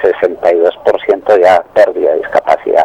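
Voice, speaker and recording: Noticeable background noise sits behind a man whose voice sounds dry and close, with no echo. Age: 60s. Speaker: caller, retired miner. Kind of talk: phone-in consultation. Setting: phone call. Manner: halting.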